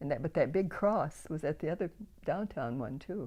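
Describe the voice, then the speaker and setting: In an Upper Midwest accent, a woman with a very deep, low pitch and a dark, mellow tone talks at a fairly quick pace with lively intonation. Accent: Upper Midwest American. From Grand Rapids, Michigan, USA. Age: 90s. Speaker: church volunteer and prayer warrior. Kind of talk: interview answer.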